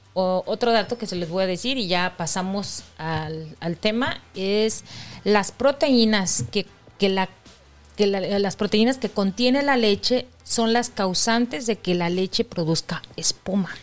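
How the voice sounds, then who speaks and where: Music plays in the background while a woman speaks at a very slow pace. Her pitch is medium, with ordinary variation. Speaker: podcast co-host. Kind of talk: casual chat.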